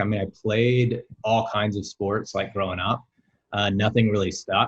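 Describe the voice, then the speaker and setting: A man's medium-pitched voice in an American accent. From US South, Alabama (near Birmingham). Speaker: amateur runner and triathlete. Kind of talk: casual interview chat. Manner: halting, many fillers.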